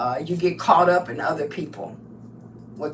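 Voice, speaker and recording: A woman's fairly slow speech comes with audible room echo and noticeable background noise. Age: 70s. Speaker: crafting livestreamer. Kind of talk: casual live stream monologue. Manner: animated.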